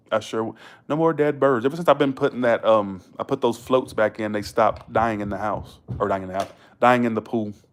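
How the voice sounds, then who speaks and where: A man with a Southern US accent, medium-pitched, at a fairly quick pace with ordinary pitch variation. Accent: Southern US accent, noticeable. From US South, Georgia. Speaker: live streamer. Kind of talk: casual chat. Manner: fast.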